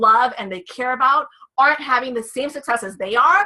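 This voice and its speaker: A woman speaks in a high pitch with an animated tone. Her pace is fairly quick and her pitch variation ordinary. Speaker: network marketing presenter. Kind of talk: sales pitch. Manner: fast.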